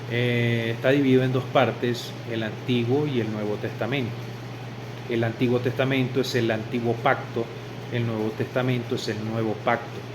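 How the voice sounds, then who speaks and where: A man talks at a moderate pace and a medium pitch, his intonation monotone and flat. The recording has audible room echo and noticeable background noise. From Venezuela. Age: 40s. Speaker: religious convert. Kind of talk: testimony.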